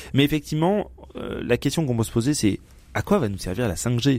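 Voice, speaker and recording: A man with a dark, mellow tone speaks at a fairly quick pace with lively intonation. The recording is very clean, with a silent background. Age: 40s. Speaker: press club commentator. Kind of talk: casual chat.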